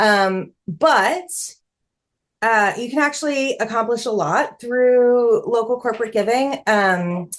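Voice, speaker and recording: Against a quiet background, a woman with a fairly high pitch speaks very slowly with lively intonation. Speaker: fundraising consultant. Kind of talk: online workshop presentation.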